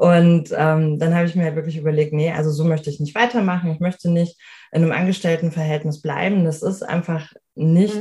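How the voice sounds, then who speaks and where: The voice is somewhat breathy and flat in intonation. It moves at a fairly quick pace. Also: woman. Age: 30s. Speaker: life coach. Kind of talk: interview.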